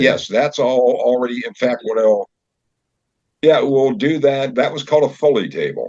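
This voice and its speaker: Speaking at a moderate speed, a man has an unremarkable speaking voice and ordinary pitch variation. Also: fairly high pitch for a man. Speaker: director of the old time radio show. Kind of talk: casual conversation about an upcoming show.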